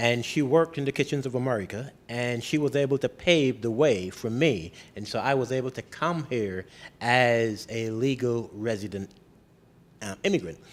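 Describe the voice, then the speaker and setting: A man with a Barbadian accent speaks at medium pitch and a moderate pace, with ordinary pitch variation. The recording is very clean, with a silent background. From Barbados. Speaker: mayor. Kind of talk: interview.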